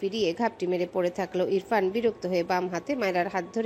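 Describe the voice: It is simply plain reading aloud.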